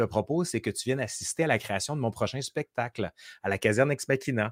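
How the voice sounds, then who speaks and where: Recorded very cleanly with a silent background and a dry, close sound with no echo, a man at medium pitch talks at a very fast pace with lively intonation and an animated tone. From Quebec City. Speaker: historian and YouTuber. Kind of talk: casual interview chat.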